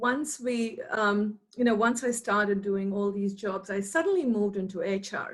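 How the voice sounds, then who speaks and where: With a somewhat breathy quality, a woman speaks at a moderate speed. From India, Mumbai. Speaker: academic researcher. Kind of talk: interview.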